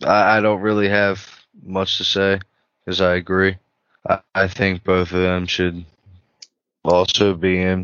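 A man talks in a very deep, low pitch with monotone, flat intonation and very even loudness. His pace is fairly slow, with long, frequent pauses. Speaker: podcast co-host. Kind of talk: casual chat. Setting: video call.

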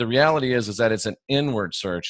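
The background is quiet, and the sound is dry and close with no echo. A man talks at a moderate pace in an unremarkable speaking voice with ordinary pitch variation. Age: 50s. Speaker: Bible scholar and former evangelist. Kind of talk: casual interview conversation.

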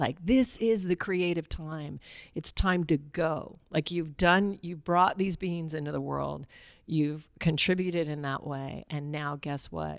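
Over a very clean recording with a silent background, a woman speaks at a very deep, low pitch and a fairly slow pace with ordinary pitch variation. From Alaska. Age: 50s. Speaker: spiritual teacher and mother. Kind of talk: casual interview chat.

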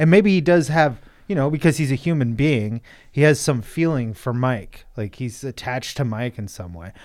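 Over a silent background on a very clean recording, a man with a medium pitch and lively intonation talks in a plain, everyday voice. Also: moderate pace, big swings in loudness. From US Pacific Northwest. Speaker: film enthusiast guest. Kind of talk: casual chat.

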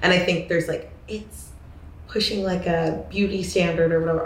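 Audible room echo surrounds this recording. A woman with an American accent talks at a fairly quick pace. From US Pacific Northwest (Corvallis, Oregon). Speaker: photographer and influencer. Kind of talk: casual interview. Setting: studio couch.

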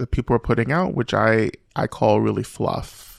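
In an American accent, a man talks at a moderate pace and medium pitch. The sound is dry and close with no echo, over a quiet background. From US South, Rome, Georgia. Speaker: Buddhist teacher and author. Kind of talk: interview conversation. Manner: reflective, frequent filler phrases.

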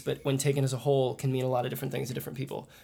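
A man with a General American accent speaks in a somewhat breathy voice at a fairly high pitch, his intonation flat and monotone. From US Midwest, Kansas City. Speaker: folk musician. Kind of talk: casual interview. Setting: at a music festival.

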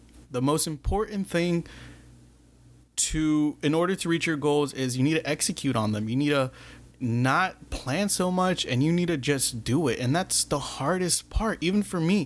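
A man speaks at a moderate pace in an ordinary speaking voice, pitched fairly high. The loudness stays very even, and the recording is very clean with a silent background. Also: ordinary pitch variation. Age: 20s. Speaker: podcast host. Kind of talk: motivational monologue.

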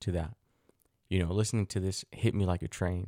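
Over a very clean, silent background, a man with a very deep, low voice and a dark, mellow tone speaks with fairly even intonation, sounding dry and close with no echo. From Mexico, raised in the US. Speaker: podcast host. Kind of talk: solo monologue podcast. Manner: hesitant, many fillers and restarts.

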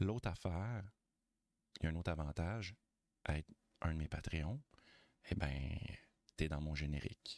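In a Quebec accent, a man speaks at a fairly slow pace with a very deep, low pitch. His pitch variation is ordinary, and the sound is dry and close with no echo. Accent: Québécois French. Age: 40s. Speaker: podcaster. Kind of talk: casual chat.

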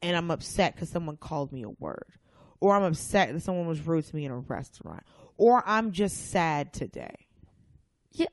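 A woman with an American accent has a plain, everyday voice at a fairly low pitch and a moderate pace. Her intonation is lively, her loudness swings widely, and the background is quiet. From US South (Atlanta, Georgia). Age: 30s. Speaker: comedian. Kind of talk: casual chat.

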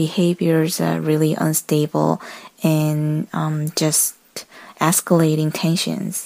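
A woman speaks very slowly at fairly low pitch with a Korean accent. The sound is dry and close with no echo. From South Korea. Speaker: listener caller. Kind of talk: voicemail message. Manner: halting.

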